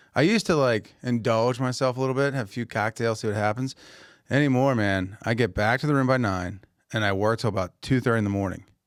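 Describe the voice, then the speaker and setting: A man with an American accent at a very fast pace, medium pitch and ordinary pitch variation, on a very clean recording with a silent background. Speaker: podcast host, grocer. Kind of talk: casual chat.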